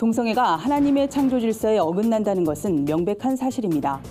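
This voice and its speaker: With music in the background, a woman talks at a fairly quick pace, her fairly high pitch making very wide swings. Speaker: news presenter. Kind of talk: TV news briefing.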